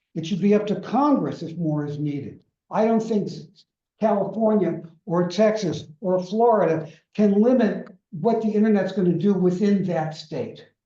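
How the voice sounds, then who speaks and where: At a moderate pace, a man with a high pitch and a dark, mellow tone talks with ordinary pitch variation as room echo is audible. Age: 80s+. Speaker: lecturer. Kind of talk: lecture.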